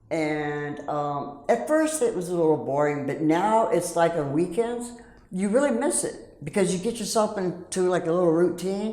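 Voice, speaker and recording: There is audible room echo as a woman with a fairly low pitch speaks at a moderate pace with lively intonation. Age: 60s. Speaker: rescue mission resident. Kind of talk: testimony.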